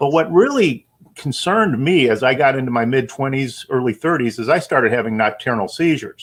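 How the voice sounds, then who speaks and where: With an American accent and lively intonation, the speaker moves at a fairly quick pace with hardly any pauses. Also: man, medium pitch for a man. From US Midwest, Chicago. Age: 60s. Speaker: cannabis farm founder. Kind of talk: interview. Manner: halting.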